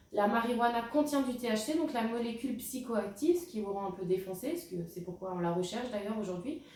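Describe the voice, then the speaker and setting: Audible room echo surrounds a woman's fairly high voice. She talks at a very fast pace. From France, Alsace. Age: 20s. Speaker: product presenter. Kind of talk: sales pitch. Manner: halting, frequent hesitations.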